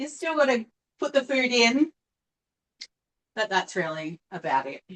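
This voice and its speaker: A woman with an Australian accent speaks fairly slowly in a high voice, her pitch swinging very widely. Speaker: cooking appliance sales consultant. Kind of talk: live online cooking demonstration. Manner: chatty, casual.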